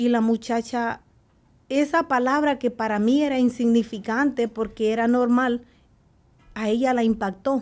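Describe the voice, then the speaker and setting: In a Salvadoran accent, a woman with a high pitch keeps fairly even intonation and very even loudness. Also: fairly slow pace. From El Salvador. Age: 40s. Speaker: guest sharing her life story; guest. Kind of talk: testimony. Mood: earnest, emotional personal testimony. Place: studio. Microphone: studio mic.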